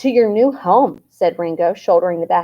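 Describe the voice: Plain reading aloud carries lively intonation. Behind it, things stay quiet.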